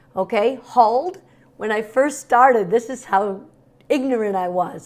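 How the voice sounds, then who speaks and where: The speaker has an animated tone, a fairly slow pace and ordinary pitch variation. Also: woman. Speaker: cooking channel host. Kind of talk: cooking tutorial.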